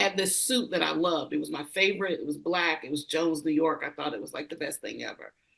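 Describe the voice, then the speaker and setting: Vocal fry in a woman's fairly low voice. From rural US. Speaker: leadership consultant. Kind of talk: interview conversation.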